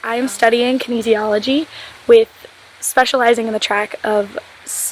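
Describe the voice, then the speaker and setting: A woman speaks in a high pitch with fairly even intonation. Noticeable background noise runs underneath. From Florida. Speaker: scholarship recipient, college student. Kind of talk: recorded testimonial.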